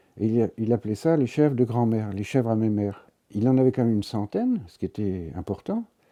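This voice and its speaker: A man's dark, mellow voice with lively intonation, dry and close without echo, against a quiet background. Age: 70s. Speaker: goat breeder and nature conservationist. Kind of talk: documentary interview. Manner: halting.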